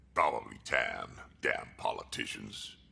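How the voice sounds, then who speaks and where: A man's put-on character voice at a fairly slow pace. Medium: video game. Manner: gruff, blunt.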